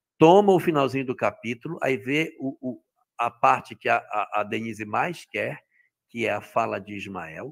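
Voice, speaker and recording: This man's voice has vocal fry and very wide pitch swings, set against a quiet background. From Brazil. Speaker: spiritist study facilitator; study facilitator. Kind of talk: lecture. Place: home room. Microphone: headset.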